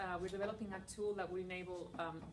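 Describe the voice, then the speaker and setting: A woman with a Spanish accent, against noticeable background noise and audible room echo. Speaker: environmental NGO founder. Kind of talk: conference talk and Q&A. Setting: breakout session with students. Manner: casual, many fillers.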